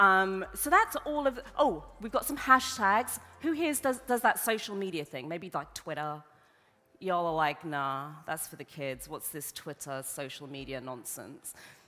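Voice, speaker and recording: A woman's fairly low voice with a bright, sharp tone, very wide pitch swings and big swings in loudness. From Papua New Guinea. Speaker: event host, conference moderator. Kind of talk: conference opening address. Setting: stage with audience. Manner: casual, lively.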